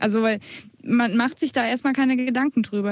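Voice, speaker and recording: Here is a woman with an unremarkable speaking voice. Her pitch is fairly high and her pace fairly quick. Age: 20s. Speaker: music student and blogger, podcast co-host. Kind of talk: casual podcast conversation.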